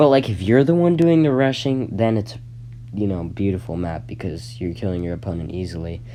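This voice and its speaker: Quick-paced and fairly low in pitch, a man speaks in a dark, mellow tone with very wide pitch swings. Room echo is audible. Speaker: gaming YouTuber. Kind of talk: casual commentary. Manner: halting, many fillers and restarts.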